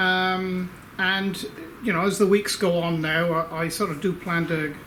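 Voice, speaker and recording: With audible room echo and noticeable background noise, a man speaks in a high voice with fairly even intonation. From Australia. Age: 60s. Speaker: inventor and engineer. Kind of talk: casual video update to supporters. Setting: workshop. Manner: hesitant, many fillers.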